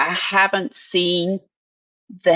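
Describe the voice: The tone is fairly bright. The sound is dry and close, with no echo. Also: woman.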